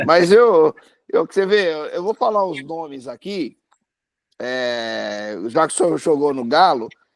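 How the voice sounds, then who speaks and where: A man's fairly high-pitched voice with lively intonation, dry and close with no echo. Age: 60s. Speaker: football fan. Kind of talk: casual chat. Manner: halting, repeats words.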